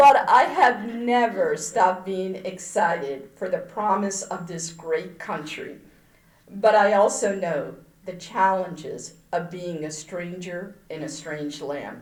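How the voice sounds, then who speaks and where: At a very slow pace, a woman with a medium-pitched voice and ordinary pitch variation speaks with big swings in loudness amid audible room echo. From moved from India to the US at age seven. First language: not English. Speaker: politician and engineer. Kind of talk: keynote speech.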